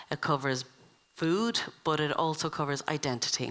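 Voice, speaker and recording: A woman's voice sits very deep and low in pitch, with a bright, sharp tone. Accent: Irish. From Ireland. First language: Irish. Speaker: event chair. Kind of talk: introductory speech at a summer school. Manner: halting, many fillers.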